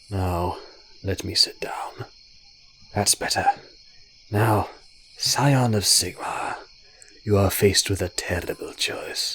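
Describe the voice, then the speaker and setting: Putting on a character voice, a man speaks gravelly and rumbling at a fairly low pitch. His pace is fairly slow, with long, frequent pauses. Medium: read story. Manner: condescending, sly.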